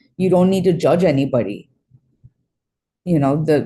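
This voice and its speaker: Somewhat breathy and dark, mellow in tone, a woman's fairly low voice moves at a fairly quick pace with ordinary pitch variation. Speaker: astrologer. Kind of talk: live-streamed astrology forecast.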